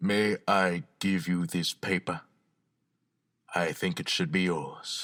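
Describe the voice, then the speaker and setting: A man uses a put-on character voice with a very deep, low pitch and ordinary pitch variation. He goes at a fairly slow pace, with long, frequent pauses and very even loudness. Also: very clean recording, silent background. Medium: audio drama. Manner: polite, measured.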